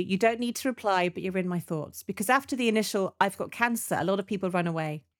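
In a British accent, a woman speaks at a medium pitch with ordinary pitch variation, recorded very cleanly against a silent background with a dry, close sound and no echo. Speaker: retired breast surgeon, cancer survivor. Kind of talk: casual interview.

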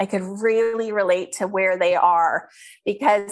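In an ordinary speaking voice, a woman talks at a fairly slow pace and medium pitch with fairly even intonation. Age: 50s. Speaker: skincare entrepreneur. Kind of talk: interview.

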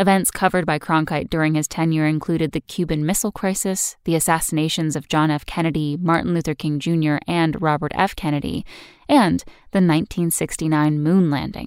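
Her voice very deep and low, a woman talks at a fairly quick pace with fairly even intonation. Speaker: history podcast host. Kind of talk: scripted narration, brisk daily history briefing. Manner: formal, measured, steady newsreader-style delivery.

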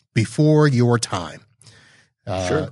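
Somewhat breathy male voice at a medium pitch and fairly slow pace against a quiet background. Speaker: podcast host. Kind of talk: casual interview chat. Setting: live video show.

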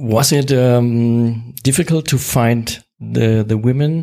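This man has a German accent and a medium pitch. He speaks at a very slow pace with fairly even intonation. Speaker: podcast host. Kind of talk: interview. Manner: halting.

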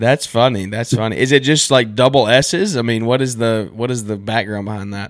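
A man's medium-pitched voice at a fairly quick pace, with ordinary pitch variation and hardly any pauses. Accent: Southern US. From US South. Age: 20s. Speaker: podcast host and lawn care business owner. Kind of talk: casual interview. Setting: remote call.

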